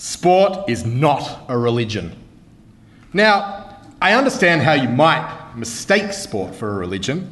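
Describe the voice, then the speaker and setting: A man talks in an Australian accent at a very slow pace. His pitch swings very widely, and he leaves long, frequent pauses. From Melbourne, Australia. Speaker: comedy debater. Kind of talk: comedic debate speech. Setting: stage with audience. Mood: humorous, wry. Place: hall. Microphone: podium.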